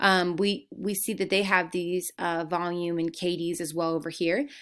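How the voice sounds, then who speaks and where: A woman's fairly low voice with fairly even intonation on a very clean recording with a silent background. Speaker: marketing agency co-founder. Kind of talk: sales pitch. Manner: fast.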